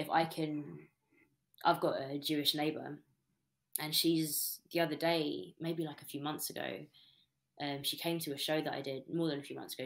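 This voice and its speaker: At a fairly quick pace, a woman with a British accent speaks in a very deep, low voice with fairly even intonation. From Britain. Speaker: spoken word poet; interviewee. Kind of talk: interview answer. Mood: thoughtful, calm. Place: home room. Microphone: webcam.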